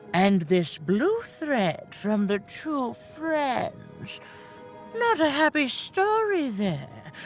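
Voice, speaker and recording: A put-on character voice that sounds female, pitched high and delivered at a very slow pace over clear background music. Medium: video game. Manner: cryptic, knowing.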